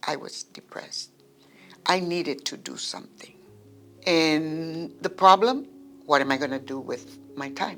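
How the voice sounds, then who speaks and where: Over music in the background, a woman with a very deep, low voice speaks at a fairly slow pace, using ordinary pitch variation, big swings in loudness, and long, frequent pauses. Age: 70s. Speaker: poet and creative writing student. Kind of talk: interview answer.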